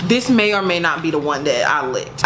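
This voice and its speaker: A woman talks at a moderate pace in an animated tone, her pitch swinging very widely. Noticeable background noise and audible room echo are present. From US South, rural. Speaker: lifestyle YouTuber. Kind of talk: casual vlog with product promotion.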